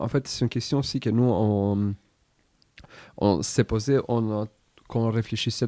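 A man speaks at a medium pitch with fairly even intonation and long, frequent pauses. The sound is dry and close, with no echo. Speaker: podcast host. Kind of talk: casual chat.

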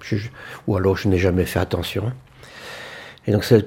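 This man's voice has a dark, mellow tone and is somewhat breathy. His pitch is fairly low, with ordinary variation. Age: 70s. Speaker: elderly local resident. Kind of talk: testimony.

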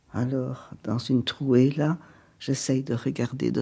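Very slow and very deep, with a low pitch and vocal fry, a woman's voice comes through. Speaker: elderly woman interviewed at home. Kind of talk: documentary interview.

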